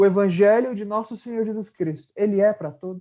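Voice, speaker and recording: A man with a northern Brazilian accent speaks at a moderate pace, his high pitch carrying a dark, mellow tone and fairly even intonation. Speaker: spiritist lecturer. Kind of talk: religious lecture. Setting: video call.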